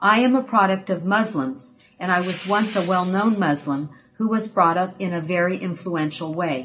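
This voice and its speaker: In an unremarkable speaking voice, a woman talks at a medium pitch and a fairly slow pace with ordinary pitch variation. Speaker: ministry assistant. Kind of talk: reading aloud.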